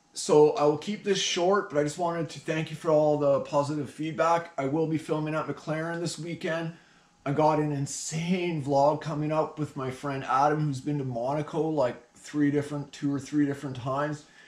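Amid audible room echo, a man speaks at a moderate pace with fairly even intonation and hardly any pauses. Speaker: car-spotting channel host. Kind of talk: casual vlog chat. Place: home room. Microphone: camera far.

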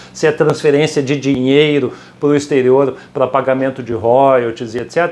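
A man speaking at a fairly slow pace, with light background noise. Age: 50s. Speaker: currency exchange company founder; guest. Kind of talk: casual interview. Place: office. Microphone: lapel.

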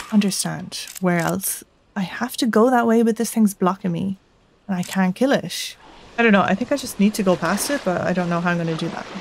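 A woman's medium-pitched voice at a fairly quick pace, with ordinary pitch variation, a dry sound with no echo and light background noise. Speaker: gaming channel host; gaming streamer. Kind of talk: let's play commentary. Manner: casual, chill. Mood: confused, chill.

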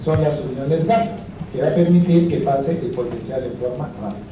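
Amid noticeable background noise and audible room echo, a man talks at a fairly quick pace with ordinary pitch variation. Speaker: lecturer. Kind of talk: lecture. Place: classroom. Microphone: handheld.

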